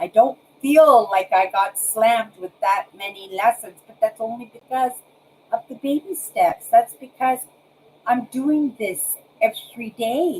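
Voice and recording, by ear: A woman's fairly high voice, slightly mellow in tone with a slightly husky edge, fairly slow in pace, with ordinary pitch variation.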